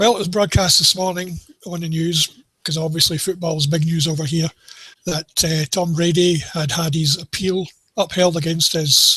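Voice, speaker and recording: This man's voice sits high in pitch, with a Scottish accent and fairly even intonation. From Scotland. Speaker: NFL betting tipster. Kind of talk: casual sports discussion.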